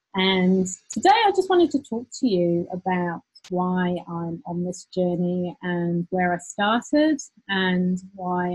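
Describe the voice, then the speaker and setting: A woman with a British accent speaks very slowly in a somewhat breathy voice, the sound dry and close with no echo. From UK. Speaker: business owner, former lawyer. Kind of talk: personal story monologue. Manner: hesitant with repetitions.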